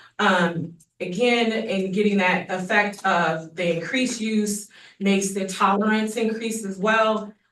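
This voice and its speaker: In an unremarkable speaking voice, a woman speaks at a medium pitch and a fairly slow pace with fairly even intonation. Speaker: public health official. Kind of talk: presentation to county commission. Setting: public meeting.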